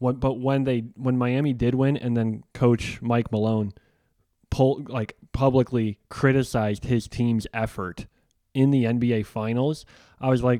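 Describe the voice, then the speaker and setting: Monotone and flat, a man with an American accent talks at a fairly slow pace in a dark, mellow tone, recorded very cleanly with a silent background. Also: medium pitch for a man. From Chicago, US Midwest. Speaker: podcast host. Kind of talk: interview.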